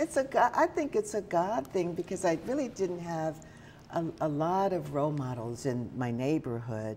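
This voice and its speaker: Using an American accent, a woman speaks with a very deep, low pitch, very wide pitch swings, and a dark, mellow tone. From Oklahoma, Tulsa. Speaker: journalism school dean. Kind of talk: interview.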